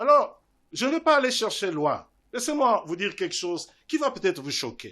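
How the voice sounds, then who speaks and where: Projecting his raised voice over a quiet background, a man with an extremely high pitch speaks at a moderate pace in a bright, sharp tone with very wide pitch swings. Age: 60s. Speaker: invited speaker at student parliament debate. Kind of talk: public talk answering questions. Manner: formal.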